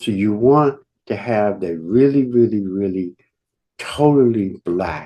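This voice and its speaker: A man at a very slow pace, his pitch swinging very widely. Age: 70s. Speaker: natural health expert. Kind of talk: webinar presentation. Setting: online call.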